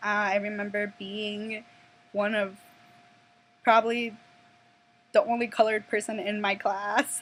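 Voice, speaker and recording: A woman with a Minnesota accent, fairly high in pitch, monotone and flat, at a fairly slow pace with long, frequent pauses and music in the background. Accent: Minnesota American English. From Minnesota, US (Minneapolis and Plymouth). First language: Spanish. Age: 20s. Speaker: vlogger. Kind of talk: personal vlog storytelling. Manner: hesitant, many fillers and restarts.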